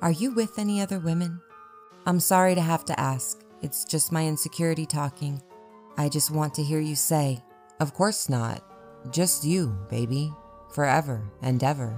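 A strained, put-on character voice at a middle pitch moves at a moderate pace with long, frequent pauses. Music plays in the background. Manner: pleading, then harsh and hurtful.

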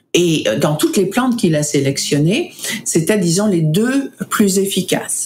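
Over noticeable background noise, a woman speaks fairly slowly at medium pitch, with lively intonation and very even loudness. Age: 60s. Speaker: foundation director, researcher advocate. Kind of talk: casual interview. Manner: halting, hesitant with fillers.

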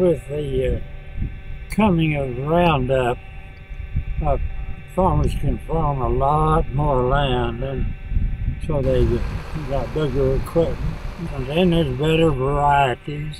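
With an American accent, a man speaks at a very slow pace, leaving long, frequent pauses. The sound is dry with no echo, though noticeable background noise is present. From Oklahoma. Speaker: farmer. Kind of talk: interview answer. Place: farm.

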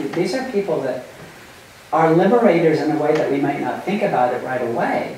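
Strong room echo and light background noise accompany a woman who speaks at a fairly quick pace with lively intonation. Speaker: human rights ethicist and lecturer. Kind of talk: lecture. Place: meeting room. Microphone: camera far.

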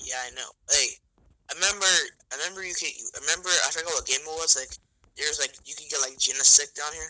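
A man with a high pitch and a bright, sharp tone talks very fast, his loudness swinging widely. He leaves long, frequent pauses. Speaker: gamer friend. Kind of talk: casual gameplay chat. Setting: online voice call. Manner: animated.

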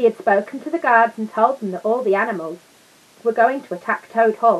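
Someone reads aloud in a natural voice, and the pitch moves up and down in an ordinary way.

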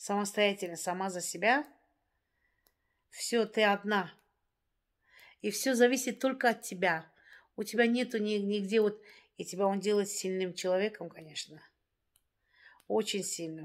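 Against a quiet background, a woman speaks at a fairly slow pace with medium pitch, ordinary pitch variation and long, frequent pauses. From Dagestan, Russia. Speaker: vlogger; vlogger telling her life story. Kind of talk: casual monologue to viewers; casual vlog chat. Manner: hesitant, with fillers. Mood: reflective, somewhat sad. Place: home room. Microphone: phone near.

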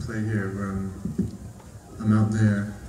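Over noticeable background noise, a man speaks in a fairly low voice. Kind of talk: stage banter. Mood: self-deprecating, relaxed.

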